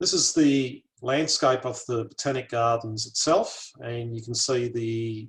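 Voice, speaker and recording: This man has an Australian accent. His voice is somewhat breathy. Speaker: botanic garden curator. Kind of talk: lecture.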